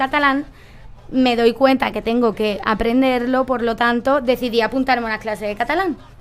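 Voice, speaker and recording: With music in the background, a woman with a strong Andalusian accent speaks at a high pitch with fairly even intonation. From Andalusia, Cádiz. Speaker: political talk show panelist. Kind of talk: panel discussion.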